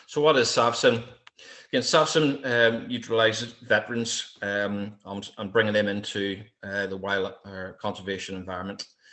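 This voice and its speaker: A man with a strong Irish accent speaks at a fairly low pitch, with ordinary pitch variation and big swings in loudness. Room echo is audible. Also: moderate pace. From Ireland. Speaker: military veteran and wildlife security trainer. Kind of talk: lecture. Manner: hesitant, many fillers.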